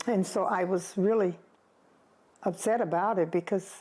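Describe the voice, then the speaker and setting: A dark, mellow voice at a moderate pace, with ordinary pitch variation. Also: woman. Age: 90s. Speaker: retired teacher. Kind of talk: interview.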